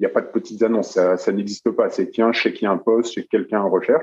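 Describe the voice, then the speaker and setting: The recording of a man's voice sounds dry and close, with no echo. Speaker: journalist and runner. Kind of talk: podcast interview. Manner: monotone; halting, many repetitions.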